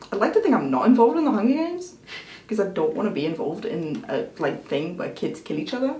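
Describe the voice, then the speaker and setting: Over noticeable background noise and audible room echo, a woman talks at a very fast pace with very wide pitch swings. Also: fairly high pitch for a woman. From international schools; half Belgian, half Scottish. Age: 20s. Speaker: YouTuber. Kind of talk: casual Q&A chat.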